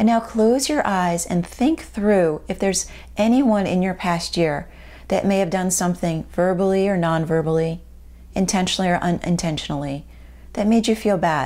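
At a moderate pace, a woman speaks with a dark, mellow, warm tone, very even loudness and ordinary pitch variation. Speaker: video host and life coach. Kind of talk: guided meditation and journaling exercise. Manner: warm and encouraging. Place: home room.

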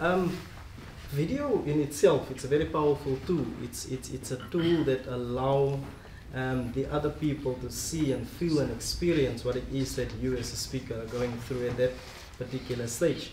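A man speaks at a moderate pace with ordinary pitch variation, with audible room echo and light background noise in the recording. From South Africa. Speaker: speaker. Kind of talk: panel discussion. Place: meeting room. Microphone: camera far.

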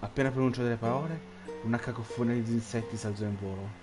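The pitch variation is ordinary. The delivery is an unforced reading voice.

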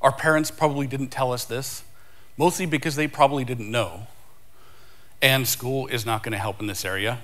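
A man speaks at a very fast pace with lively intonation. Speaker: conference speaker. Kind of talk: conference talk. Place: stage.

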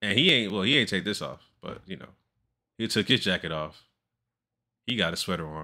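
This man talks at a fairly quick pace yet leaves long, frequent pauses, his fairly low pitch carrying an animated, bright, sharp tone. His intonation is lively, and the background is quiet. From US West Coast (Los Angeles). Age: 40s. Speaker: reaction video creator. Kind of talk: video reaction commentary. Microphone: studio mic.

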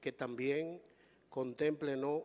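At a very slow pace, a man speaks with fairly even intonation and a fairly high pitch. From Dominican Republic. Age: 60s. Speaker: journalist; journalist asking question. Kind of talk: press question. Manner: formal. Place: hall. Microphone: handheld.

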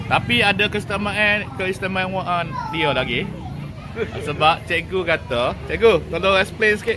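A man speaks at a fairly slow pace in a raised, projected voice with high pitch and ordinary pitch variation. Noticeable background noise runs behind him. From Kelantan, Malaysia. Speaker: food vlogger. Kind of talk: casual food vlog talk to camera. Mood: cheerful, appreciative. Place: cafe. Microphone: phone near.

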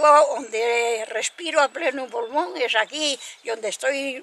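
A high-pitched woman's voice at a fairly slow pace, with noticeable background noise. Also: big swings in loudness. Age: 80s+. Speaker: shepherdess. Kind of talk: interview answer.

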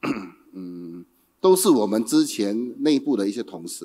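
A dark, mellow tone at a fairly slow pace over a quiet background. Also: man. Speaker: company executive director. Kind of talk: opening speech. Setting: stage with audience. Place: hall. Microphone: handheld.

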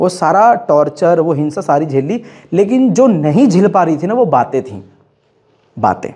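A man speaks in a high pitch with a dark, mellow tone. His pitch swings very widely, broken by long, frequent pauses. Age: 20s. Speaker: YouTuber. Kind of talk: personal storytelling monologue. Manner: animated.

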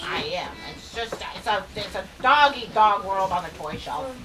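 Over clear background noise, a woman does a cartoonish character voice. Her pitch is medium. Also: moderate pace. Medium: puppet.

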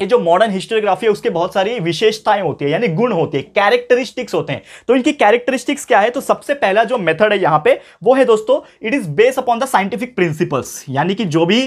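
A man's high voice with lively intonation at a moderate pace, against a quiet background. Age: 20s. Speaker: tutor. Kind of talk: lecture. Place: classroom.

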